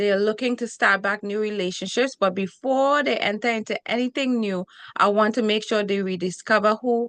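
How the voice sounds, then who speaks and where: A woman with a Trinidadian accent talks at a moderate pace and a fairly high pitch. Her pitch varies in an ordinary way, and the background is quiet. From Trinidad and Tobago. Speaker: relationship coach and TV host. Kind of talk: interview. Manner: energetic.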